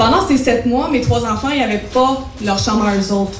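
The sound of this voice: A woman talks at a moderate pace with a fairly high pitch and ordinary pitch variation, and the room echo is audible.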